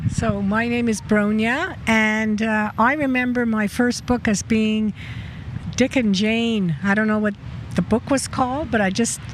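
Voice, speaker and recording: Noticeable background noise surrounds a woman who speaks at a fairly slow pace and a fairly high pitch, with ordinary pitch variation and very even loudness. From Poland, moved to Montreal at six. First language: Polish. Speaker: local resident. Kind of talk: casual personal storytelling. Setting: outdoors in front of a pastry shop.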